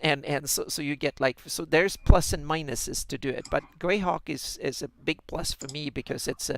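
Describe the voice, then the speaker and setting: A man with a Swedish accent at a moderate pace, hardly any pauses, in a dry, close sound with no echo. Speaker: fantasy mapmaker and podcast co-host. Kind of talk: casual chat. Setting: live stream. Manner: halting, many repeated words.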